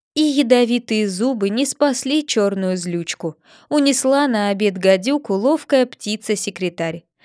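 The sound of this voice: Here is an unforced reading voice.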